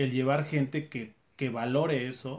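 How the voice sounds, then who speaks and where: With a Mexican accent, a man speaks fairly slowly at a medium pitch, his intonation fairly even. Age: 30s. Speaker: sales manager and trail runner. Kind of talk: casual interview.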